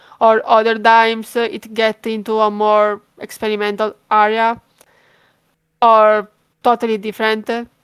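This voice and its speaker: A woman with an Italian accent speaks at a fairly high pitch in a flat monotone. The sound is dry and close with no echo, on a very clean recording with a silent background. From Italy. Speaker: fan page creator, horror game fan. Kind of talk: interview. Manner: hesitant, many fillers.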